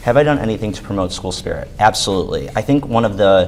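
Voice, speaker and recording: Through noticeable background noise, a man with an American accent speaks with ordinary pitch variation. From Chicago suburbs, US. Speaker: student government candidate. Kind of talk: debate.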